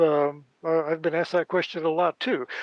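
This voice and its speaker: Speaking at a moderate pace, a man uses a high voice. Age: 70s. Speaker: astronomer and author. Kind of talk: interview. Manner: halting, many fillers.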